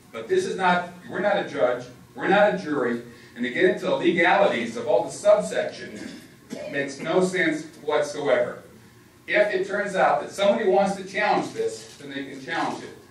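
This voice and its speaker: A man with a high pitch speaks at a moderate pace, his intonation lively and his loudness swinging widely. Audible room echo and noticeable background noise fill the recording. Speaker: committee member and attorney. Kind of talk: public meeting debate. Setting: public meeting with microphone.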